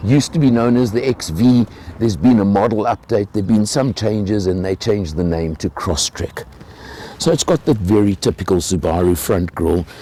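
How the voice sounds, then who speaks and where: With lively intonation and a fairly low pitch, a man speaks fairly quickly as noticeable background noise plays behind him. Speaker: car reviewer. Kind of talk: car review walkaround.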